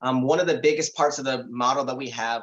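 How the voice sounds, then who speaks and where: This man's pitch sits fairly high. He speaks at a very fast pace. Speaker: policy director at advocacy nonprofit. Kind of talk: panel presentation. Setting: town hall with interpreters.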